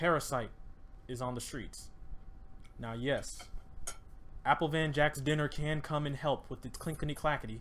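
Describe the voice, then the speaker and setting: A man with a fairly high pitch speaks with long, frequent pauses. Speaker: podcast host. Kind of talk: casual chat. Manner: fast; animated.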